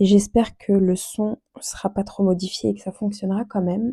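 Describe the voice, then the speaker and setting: Recorded dry and close with no echo, a woman speaks in a flat monotone at medium pitch and fairly slow pace, her tone dark, mellow and somewhat breathy. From France. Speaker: budgeting vlogger. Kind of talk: casual vlog talk. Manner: hesitant, many fillers.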